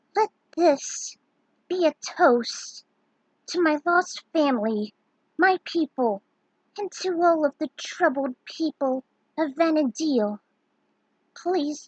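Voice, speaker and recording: In a put-on character voice, a woman sounds high and shrill, with ordinary pitch variation, a fairly slow pace and long, frequent pauses. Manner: weak, strained, solemn.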